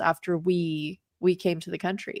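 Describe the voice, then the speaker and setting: In a dry, close sound with no echo, a woman with a plain, everyday voice speaks at a medium pitch and a moderate pace. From England, moved to Canada as child in seventies. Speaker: livestream co-host. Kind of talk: casual chat.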